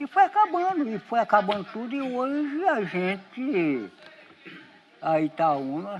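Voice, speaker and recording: A man talks with very wide pitch swings while noticeable background noise carries on. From Brazil, Espírito Santo (Itaúnas). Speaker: local villager. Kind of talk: documentary interview.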